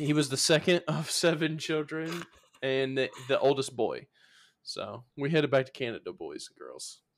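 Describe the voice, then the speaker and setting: A man speaks with a Southern US accent at a moderate pace. His loudness swings a great deal. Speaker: podcast co-host. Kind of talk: casual chat.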